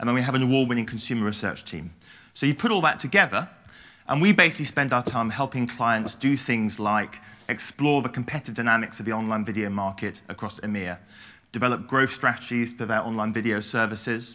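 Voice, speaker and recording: In a very clean recording with a silent background, a man with a British accent talks at a very fast pace, his bright, sharp tone at medium pitch with ordinary pitch variation. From England. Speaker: research consultant, conference speaker. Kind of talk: presentation. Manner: occasional mumbling.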